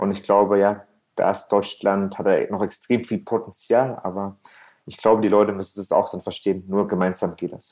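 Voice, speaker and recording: A man talks at a moderate pace in a fairly low, dark, mellow voice. His intonation stays monotone and flat while his loudness swings widely. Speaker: restaurant entrepreneur and gastronomy consultant. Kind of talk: interview conversation. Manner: frequent fillers and hesitations.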